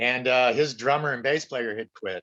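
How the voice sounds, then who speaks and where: A man talks at a moderate pace in a normal speaking voice of medium pitch. The sound is dry and close, with no echo. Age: 60s. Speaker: actor and musician. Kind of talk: casual chat.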